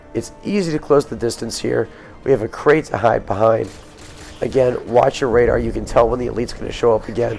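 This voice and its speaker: A man talking at a fairly quick pace over music in the background. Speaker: game walkthrough commentator. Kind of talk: gameplay walkthrough commentary.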